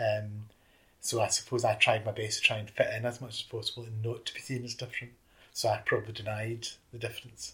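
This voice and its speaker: A man speaks with a Scottish accent. His pace is very fast. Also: big swings in loudness. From Scotland. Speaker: youth worker. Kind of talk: interview reminiscence.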